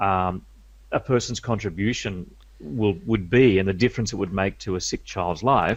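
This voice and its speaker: A man with a normal speaking voice and a fairly low pitch talks at a moderate pace with ordinary pitch variation against a quiet background. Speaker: media skills coach. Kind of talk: interview.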